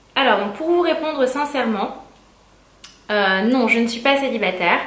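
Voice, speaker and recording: Her fairly high pitch rising and falling with lively intonation, a woman speaks through noticeable background noise and audible room echo. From northern France (Amiens). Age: 20s. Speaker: beauty youtuber. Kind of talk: Q&A vlog. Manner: hesitant, many fillers.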